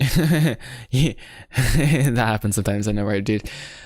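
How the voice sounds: This is a natural reading voice. It carries through the clip.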